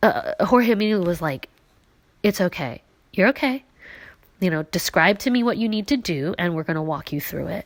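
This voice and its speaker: A woman speaks at a moderate pace and a medium pitch, with long, frequent pauses. Her pitch swings very widely. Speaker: podcaster with brain injury. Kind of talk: personal podcast monologue. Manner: emotional, halting.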